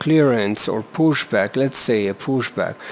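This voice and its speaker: Against noticeable background noise, a man with a non-native accent speaks at a very slow pace. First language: not English. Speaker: flight simulator video reviewer. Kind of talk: tutorial. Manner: halting.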